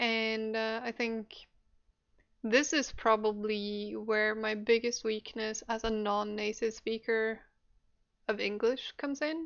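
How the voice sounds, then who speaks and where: With a non-native accent, a woman speaks at a very slow pace and with fairly even intonation. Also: fairly high pitch for a woman. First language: not English. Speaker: podcast co-host. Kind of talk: casual chat. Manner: hesitant, many fillers.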